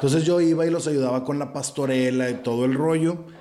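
There is audible room echo on this man's voice. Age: 40s. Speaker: theatre producer and actor. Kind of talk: casual chat. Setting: room with echo. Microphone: echoey recording.

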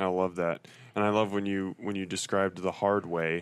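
A man's fairly low, monotone voice with flat intonation in a very clean recording with a silent background. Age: 30s. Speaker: podcast host. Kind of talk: casual interview.

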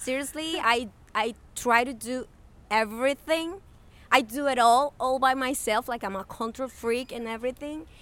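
Speaking at a moderate pace in a Spanish accent, a woman uses a high pitch with ordinary variation. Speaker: podcast host. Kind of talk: casual chat.

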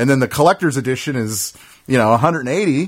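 Fairly high in pitch, a man speaks at a very fast pace with lively intonation. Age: 30s. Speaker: video game podcast host. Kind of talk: casual chat. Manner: halting, many fillers.

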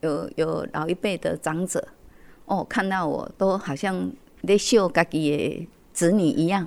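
Her pace is very slow, and this woman's pitch is fairly low with ordinary pitch variation. The recording is very clean, with a silent background. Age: 60s. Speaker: community association accountant. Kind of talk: interview. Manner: many filler particles.

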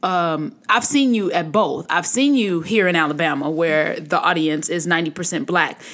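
Speaking with an American accent, a woman has a fairly low pitch and lively intonation at a moderate pace. She leaves hardly any pauses, and the recording is very clean with a silent background. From US Midwest. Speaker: podcast host. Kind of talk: casual interview. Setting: studio.

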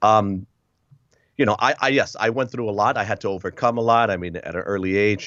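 In an ordinary speaking voice with an American accent, a man talks at a fairly quick pace, fairly low in pitch and with fairly even intonation. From US Northeast, Connecticut and Massachusetts. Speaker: author and speaker. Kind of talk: interview testimony.

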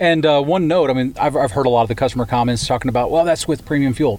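A man talks in a fairly high voice. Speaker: automaker representative. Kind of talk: interview.

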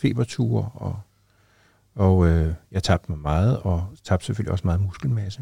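A man's very deep, low voice, dark and mellow, somewhat breathy, with ordinary pitch variation at a fairly slow pace, in a dry, close sound with no echo on a very clean recording with a silent background. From Copenhagen, Denmark. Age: 60s. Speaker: teacher and former HIV activist. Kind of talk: interview testimony.

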